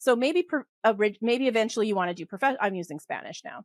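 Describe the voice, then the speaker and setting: A woman with a western Canadian accent talks very fast in an animated tone, with lively intonation at a medium pitch, in a dry, close sound with no echo and a very clean recording with a silent background. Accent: western Canadian, sounds like Hollywood. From western Canada. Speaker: polymath and tax expert. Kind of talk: podcast interview.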